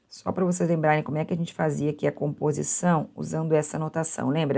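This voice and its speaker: At a fairly quick pace, a woman speaks with vocal fry in a very deep, low pitch and a dark, mellow tone. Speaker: university math teacher. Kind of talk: lecture.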